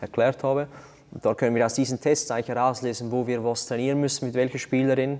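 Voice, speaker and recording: A man speaks with a monotone, flat intonation. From Switzerland, Zurich Unterland. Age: 20s. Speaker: CrossFit athlete and athletic coach. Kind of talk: interview.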